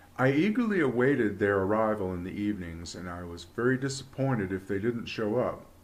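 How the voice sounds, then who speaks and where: Using an ordinary speaking voice, a man keeps a moderate pace and lively intonation. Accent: American. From Virginia, US. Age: 60s. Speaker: UFO experiencer, retired businessman. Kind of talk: personal testimony.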